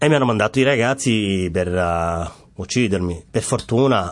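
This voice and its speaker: At a moderate pace, a man with a Somali accent and a fairly low pitch speaks with ordinary pitch variation. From Somalia, Mogadishu. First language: Somali (speaking Italian). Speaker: refugee, former footballer. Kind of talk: interview testimony. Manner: halting, with repetitions and fillers.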